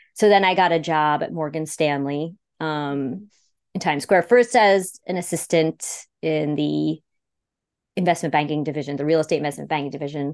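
Speaking at a moderate pace with an upstate New York accent, a woman has a very deep, low pitch over a quiet background. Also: ordinary pitch variation. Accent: upstate New York American. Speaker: speech-language pathologist and podcast producer. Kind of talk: interview.

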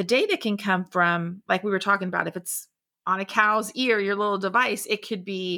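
A woman with a Southern US accent talks fairly quickly in a bright, sharp tone with fairly even intonation. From Florida Panhandle, US South. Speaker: tech founder and industry consultant. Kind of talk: casual chat.

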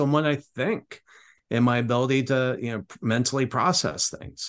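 A man speaks at a moderate pace in a medium pitch, with ordinary pitch variation. It is an unremarkable speaking voice. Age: 50s. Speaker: podcast host. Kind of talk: casual interview.

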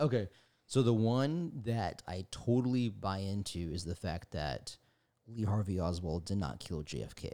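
On a very clean recording with a silent background, a man speaks at a fairly low pitch with a dark, mellow tone. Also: lively intonation, moderate pace. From Mexican-American background. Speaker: guest, marketing creative and conspiracy enthusiast. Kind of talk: casual chat.

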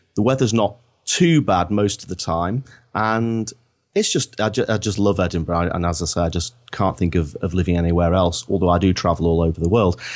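With a Lancashire accent, a man with a very deep, low pitch and ordinary pitch variation talks at a fairly quick pace in a very clean recording with a silent background. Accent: northern English (Lancashire). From northern England, Blackpool. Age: 50s. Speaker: marketing consultant. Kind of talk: podcast interview.

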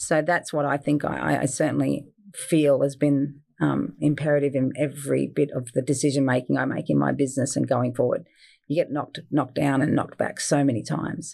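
This speaker is a woman with an Australian accent. She talks at a fairly quick pace. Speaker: fine food business owner. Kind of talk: interview.

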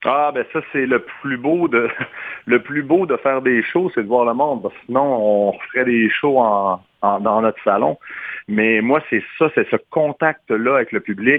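Here is a man with a plain, everyday voice at medium pitch. He speaks at a fairly slow pace with ordinary pitch variation. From Quebec. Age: 40s. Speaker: singer. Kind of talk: radio interview. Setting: phone call.

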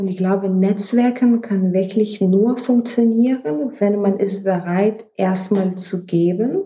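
A woman's medium-pitched, somewhat breathy voice with a dark, mellow tone and fairly even intonation at a very slow pace. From Lithuania. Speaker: fashion researcher and startup founder. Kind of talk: interview.

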